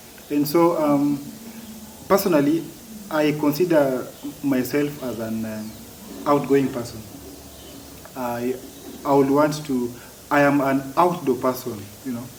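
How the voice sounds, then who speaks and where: A man's fairly high voice with ordinary pitch variation, a fairly slow pace, long and frequent pauses, noticeable background noise and audible room echo. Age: adult. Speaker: stammering advocate. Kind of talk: interview. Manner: halting, repeated words.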